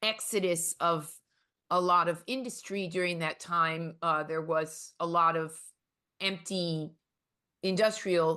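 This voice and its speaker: In a New York accent, a woman with a fairly low pitch and a bright, sharp tone speaks at a very slow pace with fairly even intonation and long, frequent pauses. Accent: New York American. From US, New York City. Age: 60s. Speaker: artist and professor. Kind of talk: interview. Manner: hesitant, many fillers.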